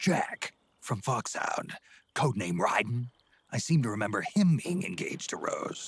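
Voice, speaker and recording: A man's put-on character voice at a moderate pace, with very wide swings in pitch. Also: medium pitch for a man. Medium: video game. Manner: gruff, laconic.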